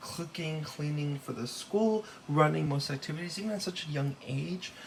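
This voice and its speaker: A man with a Californian accent, fairly high pitch, and ordinary pitch variation over noticeable background noise. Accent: General American (Californian). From Los Angeles, California, with time in Taiwan. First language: Taiwanese. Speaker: student. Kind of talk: class presentation. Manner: halting, many fillers.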